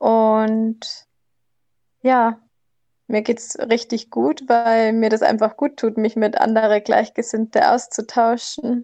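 Against a quiet background, a woman with a dark, mellow tone and fairly high pitch speaks very slowly with fairly even intonation and long, frequent pauses. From southern Germany near Salzburg. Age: 20s. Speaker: former hospital worker.

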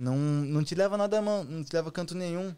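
At a fairly quick clip, this man speaks with ordinary pitch variation. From Brazil, Santa Catarina. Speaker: trap artist. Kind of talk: casual chat. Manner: animated.

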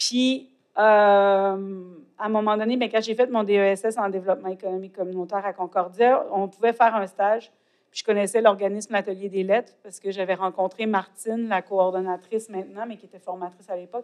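A woman speaks at a fairly quick pace. Her intonation is monotone and flat, while her loudness swings widely. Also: medium pitch for a woman. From Quebec, Côte-Nord. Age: 40s. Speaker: poet and author. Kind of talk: interview. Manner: halting, searching for words.

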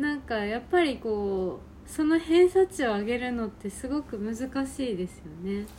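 Woman's voice, fairly high in pitch yet dark and mellow, with very wide pitch swings, big swings in loudness and a moderate pace. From Japan, Ehime. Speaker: podcast co-host, hair salon worker. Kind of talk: casual chat.

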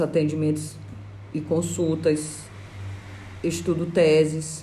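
A woman with a very deep, low pitch speaks at a very slow pace over noticeable background noise. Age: 30s. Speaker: lawyer. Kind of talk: interview.

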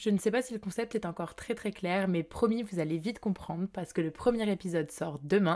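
A woman speaks with a normal speaking voice at a medium pitch and a fairly quick pace, with ordinary pitch variation, in a very clean recording with a silent background. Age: 20s. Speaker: podcast host. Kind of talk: scripted narration.

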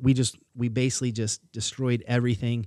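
At a fairly quick pace, a man speaks with a medium pitch and a dark, mellow tone. His intonation is monotone and flat, and the recording is very clean with a silent background. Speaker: podcast guest. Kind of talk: casual chat.

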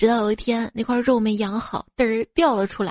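At a fairly high pitch and a moderate pace, a woman speaks against a quiet background, with a dry, close sound and no echo. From northwest China. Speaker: podcast host. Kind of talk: comedic monologue, jokes and listener comments. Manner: animated.

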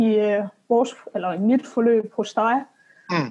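A woman speaks very slowly in a dark, mellow tone. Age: 20s. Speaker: coaching client and engineering student. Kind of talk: casual interview. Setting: remote call. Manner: hesitant, many filler sounds.

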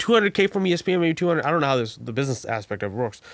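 On a very clean recording with a silent background, a man speaks at a fairly high pitch with lively intonation. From Bangladesh. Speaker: jiu-jitsu student and training partner. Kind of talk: casual chat.

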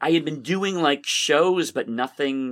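Here is an unremarkable speaking voice, a man with an American accent talking at a moderate pace with lively intonation. The recording is very clean, with a silent background. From Massachusetts, Boston area (Somerville). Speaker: magician, comedian and comedy professor. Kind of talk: casual interview conversation.

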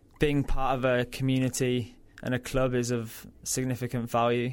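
A man with a Yorkshire accent speaks at a medium pitch with monotone, flat intonation. The recording is very clean with a silent background. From Yorkshire, northern England. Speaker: mental health organization product manager. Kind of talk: interview. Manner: frequent ums, conversational.

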